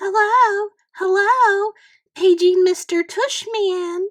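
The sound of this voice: A woman's put-on character voice, extremely high-pitched and very slow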